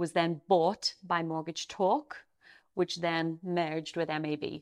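Heard in a very clean recording with a silent background, a woman with a Derry accent speaks at a fairly low pitch and a fairly slow pace, with monotone, flat intonation. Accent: Northern Irish, Derry. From Derry, Northern Ireland. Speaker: company CEO. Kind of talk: casual interview chat.

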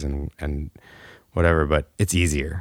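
A man's very deep, low voice stays monotone and flat in an American accent. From Illinois, US Midwest. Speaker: recording engineer and musician. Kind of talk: casual interview. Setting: home studio.

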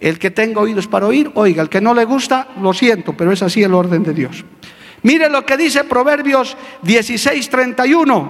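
Lively in intonation and animated in tone, a man speaks at a high pitch. His pace is moderate. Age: old. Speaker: pastor. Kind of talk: sermon. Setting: church with congregation. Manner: animated, emphatic.

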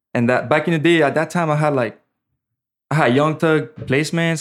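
A man with a French accent and a fairly high pitch speaks on a very clean recording with a silent background. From French Caribbean island. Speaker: music producer. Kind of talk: casual podcast interview. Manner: casual, slangy.

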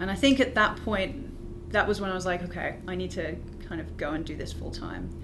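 A woman in a British accent speaks with big swings in loudness against noticeable background noise. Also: fairly quick pace. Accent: British, sometimes mistaken for Australian. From UK. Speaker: graduate student in planetary science. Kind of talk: casual interview chat.

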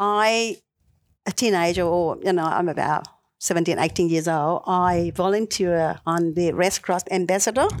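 In a very clean recording with a silent background, a woman with a Vietnamese accent speaks at a fairly slow pace and fairly low pitch, with fairly even intonation and very even loudness. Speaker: local councillor. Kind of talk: interview. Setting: studio. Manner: halting.

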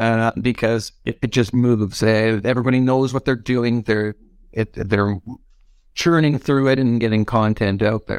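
In a very clean recording with a silent background and a dry, close sound with no echo, a man with a Canadian accent and an unremarkable speaking voice talks at a moderate pace and medium pitch with fairly even intonation. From Canada. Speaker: game cinematics director. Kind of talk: panel discussion.

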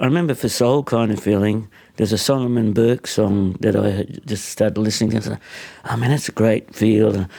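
This man speaks with an Australian accent at fairly low pitch and a moderate pace. His tone is dark and mellow, and his intonation fairly even. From Australia (born in Hungary, arrived aged two). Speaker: singer and harmonica player. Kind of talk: casual chat. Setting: his apartment lounge room.

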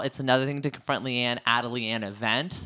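A man's animated, bright and sharp voice at a medium pitch, in a very clean recording with a silent background. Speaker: reality TV recap podcast host. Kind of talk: casual chat.

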